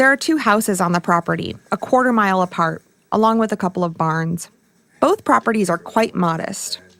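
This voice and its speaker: Speaking fairly quickly with an American accent, a woman uses an ordinary speaking voice at medium pitch with lively intonation. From Michigan. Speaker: documentary podcast host. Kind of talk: scripted narration.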